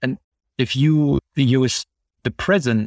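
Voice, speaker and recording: The speaker has a German accent and a fairly slow pace with ordinary pitch variation. The sound is dry and close, with no echo. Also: man. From Germany. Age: 40s. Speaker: psychotherapist and AI developer. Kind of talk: interview. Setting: remote call.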